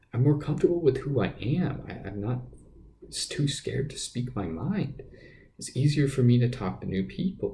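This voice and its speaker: A man speaks at a moderate pace with a dark, mellow tone, medium pitch and vocal fry. His intonation is lively, and his loudness swings widely. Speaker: podcast host. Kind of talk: casual monologue. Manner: halting, many fillers and repeats.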